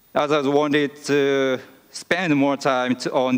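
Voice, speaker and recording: With a Japanese accent, a man talks at a medium pitch and fairly even intonation against a quiet background. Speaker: vice principal; presenter. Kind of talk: conference presentation. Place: hall. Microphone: podium.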